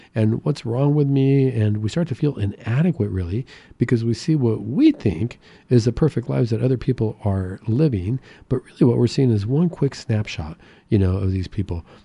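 The voice has a dark, mellow tone, somewhat breathy, with lively intonation. It moves at a moderate pace against a quiet background. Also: man, medium pitch for a man. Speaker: radio host and psychiatrist. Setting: radio studio. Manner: friendly, upbeat, conversational with filler words and seasonal cheer.

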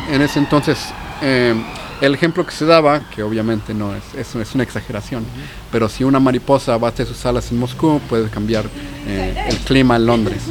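A man's medium-pitched voice with ordinary pitch variation at a fairly quick pace, over noticeable background noise. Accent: Mexican. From Mexico City. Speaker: physicist and cancer researcher. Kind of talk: casual chat. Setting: pub.

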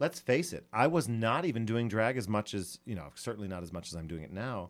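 On a very clean recording with a silent background, a man at fairly low pitch talks at a fairly quick pace with lively intonation. It is a normal speaking voice. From Scranton, Pennsylvania. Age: 40s. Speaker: drag queen and reality show contestant. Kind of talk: casual interview chat. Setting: radio studio interview.

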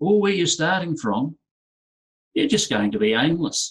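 Speaking fairly slowly with a New Zealand accent, a man uses a high voice with very wide pitch swings. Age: 50s. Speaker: entrepreneur and business coach. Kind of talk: conference presentation.

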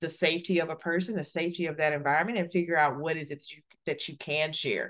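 With an American accent, a woman speaks at a very fast pace in a fairly low pitch. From US South, Alabama. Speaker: corporate executive and author. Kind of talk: interview.

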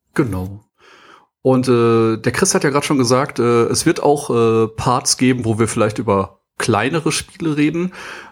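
A man speaks in a plain, everyday voice at a medium pitch and moderate pace. His pitch variation is ordinary and his loudness very even. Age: 30s. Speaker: podcast host, sales professional. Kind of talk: casual chat.

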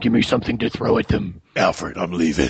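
A man puts on a character voice and speaks at a fairly quick pace. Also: fairly low pitch for a man. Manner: gruff, growling.

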